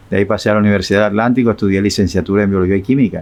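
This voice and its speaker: A man speaks with fairly even intonation. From Colombia, Barranquilla (Caribbean coast). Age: 60s. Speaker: retired teacher giving religious testimony. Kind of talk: interview testimony. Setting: live stream interview. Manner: halting, with repetitions.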